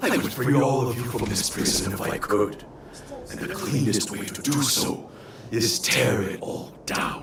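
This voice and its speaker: A man of medium pitch uses a put-on character voice amid loud background noise. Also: moderate pace. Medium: video game. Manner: forceful, blunt.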